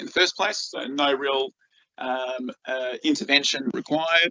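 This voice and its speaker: A man is speaking. He has an Australian accent. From Australia, rural northeast Victoria. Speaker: freshwater scientist. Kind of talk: conference presentation. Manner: halting, many fillers and repeats.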